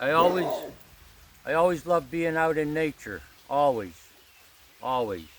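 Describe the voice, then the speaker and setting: At a moderate pace, a man with a fairly high pitch and ordinary pitch variation speaks with long, frequent pauses. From Pennsylvania, coal mining town. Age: 60s. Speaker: spiritual vlogger. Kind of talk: casual vlog monologue. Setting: outdoors in a grove.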